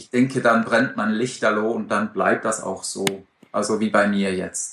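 A man speaks in an ordinary speaking voice with ordinary pitch variation. He goes at a fairly slow pace. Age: 40s. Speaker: amateur open-water swimmer. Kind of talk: interview.

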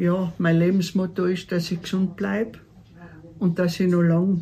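This woman's voice sits at a fairly low pitch. It is somewhat breathy. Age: 70s. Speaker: mountain hut keeper. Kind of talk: casual interview. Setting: mountain hut.

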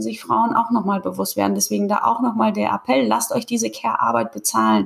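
Noticeable background noise is present throughout. A woman talks over it. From Kazakhstan. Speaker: podcast host. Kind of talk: casual interview chat.

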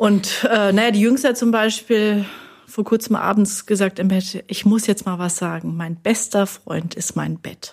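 At a fairly slow pace and with fairly even intonation, this is a plain, everyday voice. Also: woman, medium pitch for a woman. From Germany, Hesse. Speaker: linguistics professor. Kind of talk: casual chat. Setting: studio.

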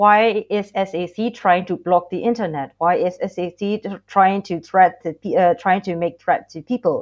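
Against a quiet background, a woman speaks very slowly with a Burmese accent and fairly even intonation. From Myanmar. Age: 20s. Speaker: student activist. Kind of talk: podcast interview.

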